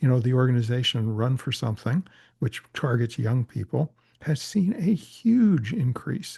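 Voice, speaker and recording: A man talks at a medium pitch with a dark, mellow tone. His voice is somewhat breathy. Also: quiet background. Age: 70s. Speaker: political organizer and author. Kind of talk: interview.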